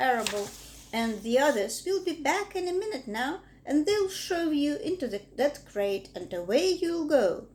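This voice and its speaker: A woman puts on a character voice, high in pitch with very wide pitch swings. She keeps a moderate pace. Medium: read story. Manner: calm, composed.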